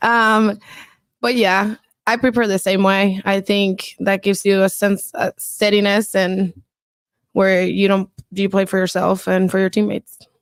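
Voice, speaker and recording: In a Spanish accent, a woman speaks at medium pitch with flat, monotone intonation and very even loudness, in a dry, close sound with no echo. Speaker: pro volleyball player. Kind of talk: press conference answers.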